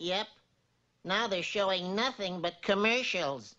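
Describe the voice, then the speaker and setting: A woman puts on a cartoonish character voice at a medium pitch and a fairly slow pace. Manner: mild, courteous.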